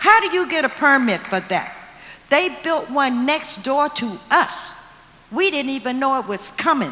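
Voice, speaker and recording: A woman with an American accent projects a raised, bright, sharp voice at a high pitch, speaking fairly slowly with very wide pitch swings. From Washington DC (Trinidad neighborhood). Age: 70s. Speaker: community resident. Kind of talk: public comment at forum.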